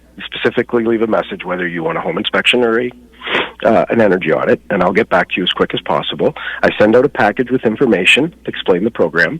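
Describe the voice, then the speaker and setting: Over noticeable background noise, a man with a medium-pitched voice talks at a very fast pace with lively intonation. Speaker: home inspector and energy advisor. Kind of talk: radio interview.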